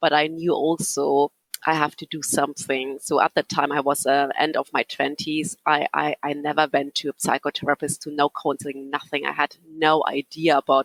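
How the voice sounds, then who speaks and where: With a German accent, a woman with a very deep, low pitch speaks at a moderate pace in a monotone, flat way with hardly any pauses, recorded in a dry, close sound with no echo. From Germany. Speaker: psychotherapist. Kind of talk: interview. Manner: halting.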